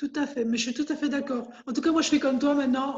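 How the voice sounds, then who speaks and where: A woman speaks at a high pitch. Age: 60s. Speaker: cancer patient. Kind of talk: casual chat.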